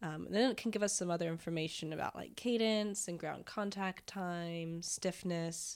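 Recorded very cleanly against a silent background, a woman with an American accent speaks in an unremarkable speaking voice, fairly low in pitch, at a moderate pace with fairly even intonation. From Florida. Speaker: physical therapist. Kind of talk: casual interview chat.

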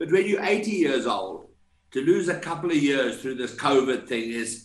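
In an ordinary speaking voice, a man talks at a fairly high pitch with lively intonation. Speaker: golf podcast co-host. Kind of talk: interview.

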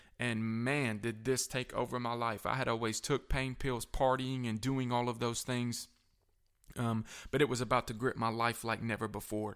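On a very clean recording with a silent background, a man with a Southern US accent talks at a moderate pace and medium pitch in a monotone, flat intonation. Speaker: pastor and recovery ministry director. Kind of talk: testimony.

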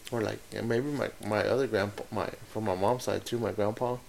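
A man's medium-pitched voice with vocal fry and fairly even intonation. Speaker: podcast co-host. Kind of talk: casual chat.

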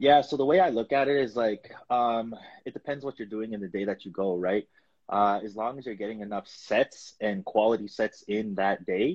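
A man talks in a plain, everyday voice at a fairly low pitch. His pace is fairly quick and his pitch variation ordinary. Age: 20s. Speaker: natural bodybuilding competitor. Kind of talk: casual chat.

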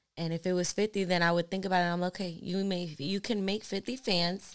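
A woman with a normal speaking voice has a fairly low pitch and fairly even intonation. She talks at a fairly quick pace in a very clean recording with a silent background. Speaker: podcast host and lash artist. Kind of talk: casual chat.

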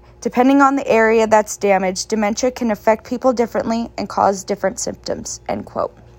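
A woman's fairly high voice at a fairly quick pace, fairly even in intonation, with hardly any pauses and music in the background. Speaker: student podcast host. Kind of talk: interview.

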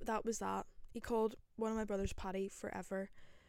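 A woman with a Northern Irish accent speaks at a moderate pace, her dark, mellow tone sitting at a medium pitch. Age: 20s. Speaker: podcaster. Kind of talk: casual solo chat. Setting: bedroom with microphone.

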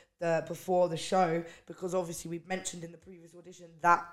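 At a moderate pace, a woman with a plain, everyday voice speaks at a medium pitch. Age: 20s. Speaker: singer-songwriter. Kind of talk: casual chat.

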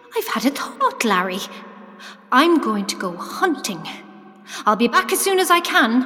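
Over music in the background, a woman projects a raised voice at a high pitch, her pitch swinging very widely between long, frequent pauses. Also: moderate pace. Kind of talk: audio drama narration. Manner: storyteller's tone, measured and vivid, painting the scene.

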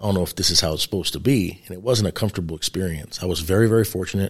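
The words come out very fast. Behind them the background is silent, and the recording is very clean. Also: man. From New York City. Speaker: retired police sergeant and police trainer. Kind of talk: interview.

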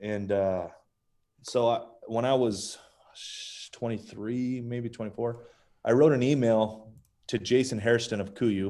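With an American accent, a man talks at a fairly slow pace and medium pitch, his tone dark and mellow, leaving long, frequent pauses. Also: fairly even intonation. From Las Vegas, US Southwest. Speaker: company co-founder and hunter. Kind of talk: casual interview chat.

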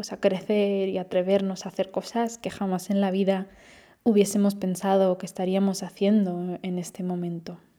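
In a very clean recording with a silent background, a woman speaks at a moderate pace in a medium-pitched voice with a dark, mellow tone. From Spain/Austria. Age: 20s. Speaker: podcast host, translation student. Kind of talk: podcast monologue. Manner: casual, with fillers.

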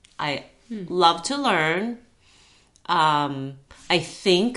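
Speaking with a Japanese accent, a woman uses ordinary pitch variation. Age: 50s. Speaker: climbing guide and yoga teacher. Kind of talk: casual interview chat.

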